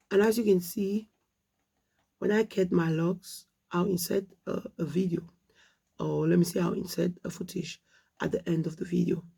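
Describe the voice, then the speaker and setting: Her voice is fairly low in pitch for a woman, with vocal fry, a dark, mellow tone, fairly even intonation and long, frequent pauses. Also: moderate pace. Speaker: hair vlogger. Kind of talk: casual vlog talk.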